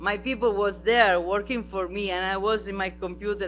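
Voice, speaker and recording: A man with an Italian accent at a fairly slow pace. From Sardinia. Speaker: artist and festival artistic director. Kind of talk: panel talk. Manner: halting.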